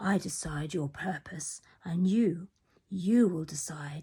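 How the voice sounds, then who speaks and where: In a put-on character voice, a woman speaks raspily at a fairly slow pace and a medium pitch. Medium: read story.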